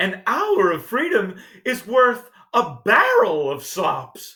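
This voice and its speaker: In a put-on character voice, a man talks at a very slow pace with an extremely high pitch. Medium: read story. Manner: repeats words, honking, urgent.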